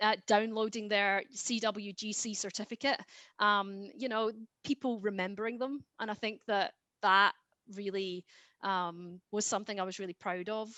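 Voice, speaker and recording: A woman speaks with a Scottish accent. Her pace is moderate and her intonation fairly even. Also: medium pitch for a woman. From Scotland. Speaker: genetic genealogist. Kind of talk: interview. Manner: hesitant, many fillers.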